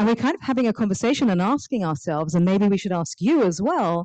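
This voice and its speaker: A woman's dark, mellow voice with an English accent and lively intonation. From England. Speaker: author and nonprofit founder. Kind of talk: public talk. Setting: stage with audience, also streamed on Zoom. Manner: animated.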